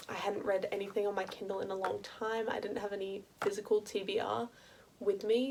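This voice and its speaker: A woman is speaking. She has an Australian accent. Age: 20s. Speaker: university student. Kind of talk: casual talk to camera.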